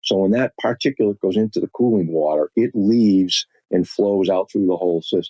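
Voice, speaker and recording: A man with a fairly low pitch talks at a fairly quick pace, with ordinary pitch variation. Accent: Boston. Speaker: industrial filtration expert. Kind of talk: podcast interview. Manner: halting, frequent repetitions and fillers.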